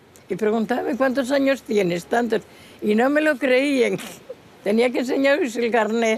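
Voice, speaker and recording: A woman with an Asturian accent, high in pitch and fairly slow, with ordinary pitch variation and very even loudness, against noticeable background noise. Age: 90s. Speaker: traditional folk singer. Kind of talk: casual interview.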